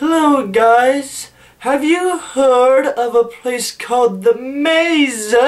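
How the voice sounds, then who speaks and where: A put-on character voice, female-sounding and high-pitched for a woman, at a very slow pace. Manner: slow, exaggerated.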